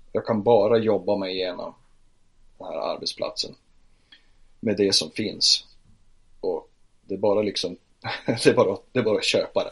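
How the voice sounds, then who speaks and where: A man speaks at a moderate pace, leaving long, frequent pauses, with big swings in loudness. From northern Sweden, Piteå. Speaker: photographer and church social worker. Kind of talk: interview.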